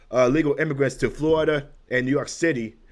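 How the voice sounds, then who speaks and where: Noticeable background noise sits behind a man speaking. His tone is animated and his pitch fairly high. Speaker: political commentary YouTuber. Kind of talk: casual political rant.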